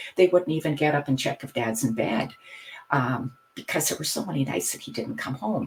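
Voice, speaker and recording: In a Canadian accent, a woman with a very deep, low voice speaks at a moderate pace, somewhat breathy and with lively intonation. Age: 60s. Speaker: hypnotherapist and retired teacher. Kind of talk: podcast interview.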